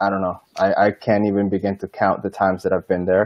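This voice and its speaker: Speaking at a moderate pace, a man with a fairly low pitch delivers his lines in a flat monotone, the sound dry with no echo. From Dominican Republic. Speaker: airline vacations business development manager. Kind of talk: online interview. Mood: relaxed, friendly. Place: home room. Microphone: earbuds.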